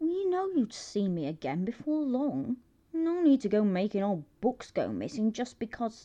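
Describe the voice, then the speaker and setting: A woman's growling put-on character voice, fairly high in pitch with very wide pitch swings, at a moderate pace. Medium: read story. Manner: sardonic, clipped, swearing.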